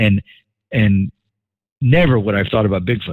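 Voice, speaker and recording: A man with a New York accent talks at a medium pitch and a moderate pace. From New York City suburbs. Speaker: podcast host. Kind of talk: casual chat.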